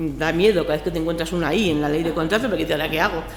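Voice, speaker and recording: A woman speaks at a fairly low pitch with ordinary pitch variation. Noticeable background noise and audible room echo fill the recording. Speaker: public procurement officer. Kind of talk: conference panel commentary. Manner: fast.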